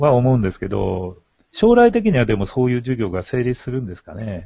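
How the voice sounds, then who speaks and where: A man speaks in a somewhat breathy voice. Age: old. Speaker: retired teacher discussing education. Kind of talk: casual chat.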